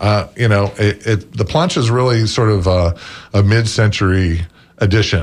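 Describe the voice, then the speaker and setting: Somewhat breathy, a man speaks at a fairly low pitch with very even loudness. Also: ordinary pitch variation, moderate pace. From Florida, St. Petersburg. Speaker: restaurant representative and book author. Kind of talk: radio interview.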